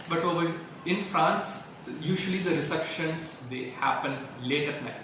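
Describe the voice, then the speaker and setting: A man with a Tamil accent speaks at a moderate pace, fairly high in pitch and with fairly even intonation. Audible room echo and noticeable background noise surround him. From India, Tamil-speaking. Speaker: French language institute representative. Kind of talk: interview.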